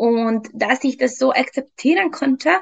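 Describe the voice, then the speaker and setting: A woman's high-pitched voice with a Hungarian accent, at a very slow pace with ordinary pitch variation, over a quiet background. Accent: non-native German, Hungarian. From Hungary. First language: Hungarian (speaking German). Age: 30s. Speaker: fitness trainer and nutrition coach. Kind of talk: interview testimony. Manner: hesitant, many fillers.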